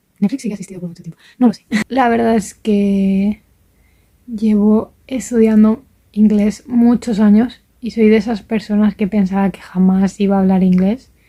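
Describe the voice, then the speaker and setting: A woman speaks at a moderate pace and medium pitch, her tone dark and mellow and somewhat breathy. Her intonation is monotone and flat. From Valencia region, Spain. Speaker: vlogger, language learner. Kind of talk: casual vlog monologue. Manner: hesitant, with fillers.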